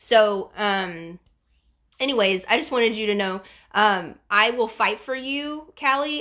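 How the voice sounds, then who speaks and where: A woman's fairly high-pitched voice, with an animated tone and a bright, sharp tone. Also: quiet background. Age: 40s. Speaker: bariatric surgery vlogger. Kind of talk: livestream chat reading viewer comments. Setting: live stream.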